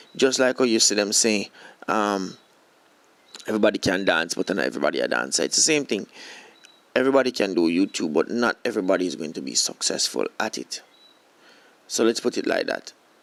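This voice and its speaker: With vocal fry and lively intonation, a man speaks at a fairly quick pace broken by long, frequent pauses, in a dry, close sound with no echo. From Jamaica. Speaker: YouTube creator and filmmaker. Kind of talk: talking-head monologue. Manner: halting, with repetitions and fillers.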